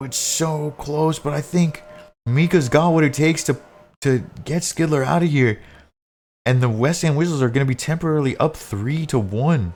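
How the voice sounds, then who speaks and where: A man with a normal speaking voice talks at a fairly high pitch and a moderate pace, with ordinary pitch variation. The recording is very clean with a silent background. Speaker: live esports shoutcaster / commentator.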